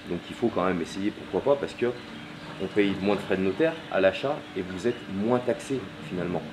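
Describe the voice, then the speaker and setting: This man speaks at a fairly quick pace with a fairly low pitch and lively intonation. Noticeable background noise runs underneath. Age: 30s. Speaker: property dealer; interviewee. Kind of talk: interview. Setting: at home during building work. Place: garden. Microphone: camera far.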